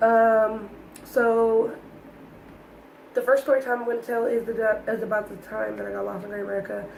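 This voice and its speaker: A woman speaks at a moderate pace in a fairly high pitch, her intonation flat and monotone, with big swings in loudness, long and frequent pauses, and noticeable background noise. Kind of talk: casual storytime talk to camera.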